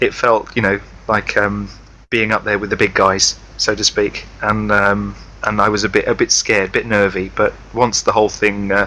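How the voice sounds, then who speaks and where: A man speaks with a British accent at a moderate pace. His loudness stays very even throughout. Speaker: podcast co-host. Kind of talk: casual chat. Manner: halting, many fillers.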